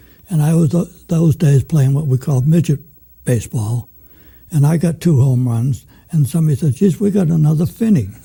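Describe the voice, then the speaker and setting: Speaking at a fairly quick pace with an American accent, the voice sounds dark, mellow and somewhat breathy, with lively intonation and very even loudness. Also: man, fairly high pitch for a man. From Manchester, Massachusetts (North Shore). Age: 80s+. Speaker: retired journalist. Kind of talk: interview.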